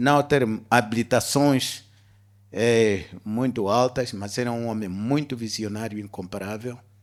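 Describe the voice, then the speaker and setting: A man with an unremarkable speaking voice talks at a fairly slow pace with fairly even intonation, on a very clean recording with a silent background. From Angola. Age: 60s. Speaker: business executive. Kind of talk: interview on stage. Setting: stage with audience.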